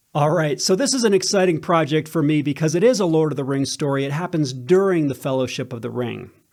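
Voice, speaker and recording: In a very clean recording with a silent background, a man with an American accent speaks in an unremarkable speaking voice, fairly high in pitch, at a fairly quick pace with ordinary pitch variation. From United States. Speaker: fan channel host and audiobook narrator. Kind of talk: casual talk to camera, fan commentary. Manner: chatty, upbeat.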